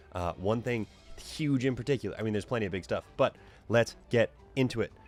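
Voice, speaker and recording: A man's fairly low voice at a very fast pace, with ordinary pitch variation and music in the background. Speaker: tabletop gaming show host. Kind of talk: casual monologue.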